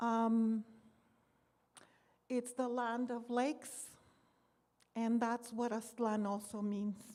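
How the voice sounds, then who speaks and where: In a Spanish accent, a woman speaks very slowly with long, frequent pauses, a dark, mellow tone, a fairly high pitch and monotone, flat intonation. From US, born here (Seattle area, Spanish-speaking home). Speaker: poet. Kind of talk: poetry reading; casual talk to audience.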